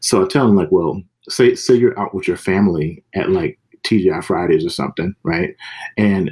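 A man with an American accent speaks at a moderate pace, the sound dry and close with no echo. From US South, Mississippi. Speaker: comics author and editor. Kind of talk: casual interview.

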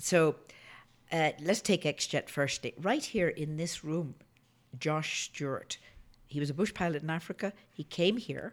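Speaking at a fairly slow pace with long, frequent pauses, the voice carries a Northern Irish accent. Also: woman, fairly low pitch for a woman, ordinary pitch variation. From Northern Ireland. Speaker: geologist and oil entrepreneur. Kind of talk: casual interview.

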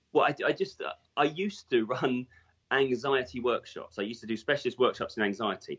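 Speaking with an English accent, a man with a medium pitch moves at a fairly quick pace. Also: lively intonation. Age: 40s. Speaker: hypnotherapist. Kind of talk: interview.

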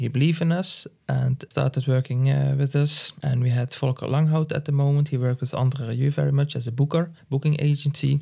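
At a fairly quick pace, a man speaks in a somewhat breathy, dark, mellow voice of fairly high pitch, with monotone, flat intonation. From Netherlands, Limburg. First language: Dutch (Limburg dialect). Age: 70s. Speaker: music manager. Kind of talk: interview. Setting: home practice room.

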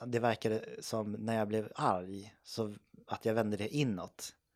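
Fairly low male voice with fairly even intonation at a fairly slow pace. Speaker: podcast co-host. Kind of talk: casual chat.

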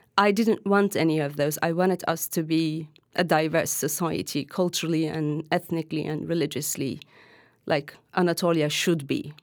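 Speaking in an Arabic accent, a woman uses a very deep, low pitch. Her pace is moderate and her intonation fairly even. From Hatay, southern Turkey. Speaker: journalist. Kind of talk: interview.

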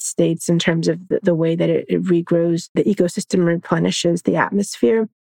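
A woman's fairly low, dark, mellow voice with an American accent at a very fast pace, dry and close with no echo. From Florida, Orlando area. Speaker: law professor and environmental justice advocate. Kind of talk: interview.

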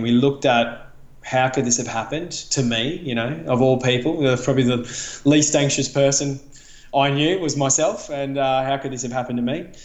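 Speaking at a moderate pace with an Australian accent, a man with a fairly high voice shows ordinary pitch variation amid audible room echo. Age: 40s. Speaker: running nonprofit CEO. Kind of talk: interview.

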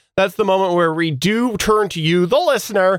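A man speaks at a moderate pace. His voice is high. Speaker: podcast host. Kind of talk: casual chat about podcasting tips.

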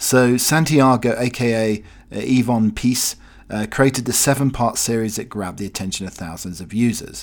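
In a very clean recording with a silent background, a man talks at a medium pitch and ordinary pitch variation. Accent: British. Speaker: podcast host. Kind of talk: casual solo chat. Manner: rambling, chatty.

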